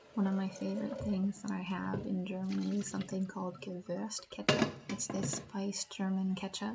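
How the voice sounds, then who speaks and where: At a fairly quick pace, a woman talks over noticeable background noise. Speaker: language teacher. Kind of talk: vlog narration.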